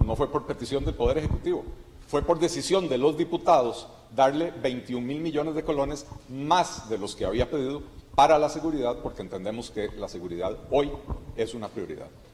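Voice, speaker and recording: Against noticeable background noise, a man talks fairly quickly at a fairly high pitch with ordinary pitch variation. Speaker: legislator. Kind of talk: press statement. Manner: formal.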